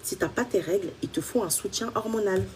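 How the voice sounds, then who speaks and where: A woman's voice, fairly high in pitch. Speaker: women's health coach. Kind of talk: live stream Q&A. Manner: fast.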